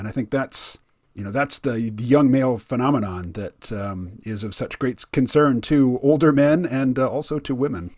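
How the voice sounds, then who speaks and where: On a very clean recording with a silent background, a man with an American accent and a normal speaking voice talks at a moderate pace with medium pitch and ordinary pitch variation. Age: 50s. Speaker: podcast host. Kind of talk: interview.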